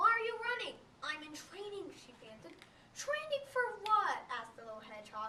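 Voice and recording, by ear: Someone reads text aloud, sounding natural.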